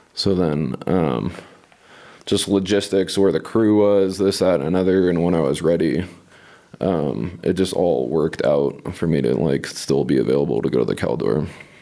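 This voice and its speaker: A man's very deep, low voice with a dark, mellow tone, vocal fry, lively intonation and very even loudness. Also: moderate pace. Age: 30s. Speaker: wildland firefighter. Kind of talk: interview.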